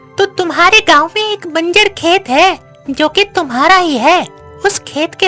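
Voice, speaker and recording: A cartoonish character voice carries the clip. Faint music plays in the background. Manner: calm, advisory.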